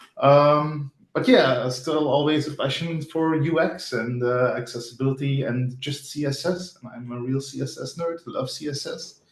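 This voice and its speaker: In a Flemish accent, the speaker goes at a moderate pace with hardly any pauses, fairly even intonation and big swings in loudness. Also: man, fairly high pitch for a man. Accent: Belgian (Flemish) English. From Belgium. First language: not English. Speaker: front-end developer. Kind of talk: interview. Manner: casual, hesitant with fillers.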